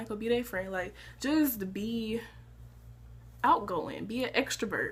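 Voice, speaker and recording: Vocal fry runs through this woman's speech. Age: young. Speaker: college student vlogger. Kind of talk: casual advice vlog. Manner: animated, conversational.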